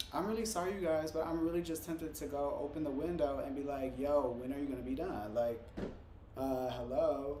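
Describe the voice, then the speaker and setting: A man with a fairly high pitch talks at a fairly quick pace in an animated tone, using ordinary pitch variation. Noticeable background noise and audible room echo fill the recording. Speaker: tarot reader. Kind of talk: live stream tarot reading.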